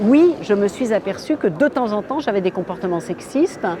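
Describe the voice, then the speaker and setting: Noticeable background noise under a woman's medium-pitched voice. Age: 60s. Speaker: feminist activist, association president. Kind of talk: documentary interview. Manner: hesitant, many filler sounds.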